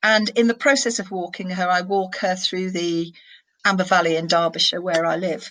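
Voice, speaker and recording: A woman's medium-pitched voice in a northern English accent, with fairly even intonation. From northern England. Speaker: senior criminal barrister. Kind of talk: interview.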